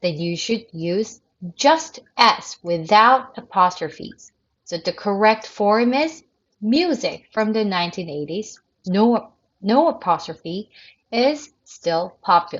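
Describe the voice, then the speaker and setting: Speaking very slowly, a woman uses a fairly high pitch with very wide pitch swings. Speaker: English writing teacher. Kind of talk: recorded video lecture. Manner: halting, self-correcting.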